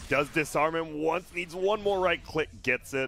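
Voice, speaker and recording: A man's fairly high-pitched voice in an animated tone, with noticeable background noise. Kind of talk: esports play-by-play commentary on a live Dota match, with casual banter. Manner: animated, excitable, reacting with exclamations as fights unfold; quick, conversational, joking with co-casters.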